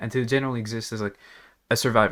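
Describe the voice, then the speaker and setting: A man speaks with a slight non-native accent. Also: very clean recording, silent background. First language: not English. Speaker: gaming youtuber. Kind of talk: casual gaming commentary rant. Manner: rambling with many fillers.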